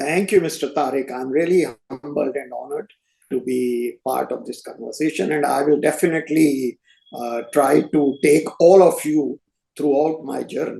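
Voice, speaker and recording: The voice has a dark, mellow tone and vocal fry, moving at a moderate pace with ordinary pitch variation. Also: man, fairly high pitch for a man. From North India, Punjabi family raised in Delhi. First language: Hindi/Punjabi. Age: 70s. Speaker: retired chef. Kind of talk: interview, life story. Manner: hesitant, many fillers.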